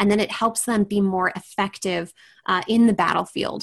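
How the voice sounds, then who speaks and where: A woman's medium-pitched, unremarkable speaking voice in an American accent, with fairly even intonation, a moderate pace and a quiet background. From Washington State. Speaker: apologist and writer, podcast co-host. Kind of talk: interview conversation.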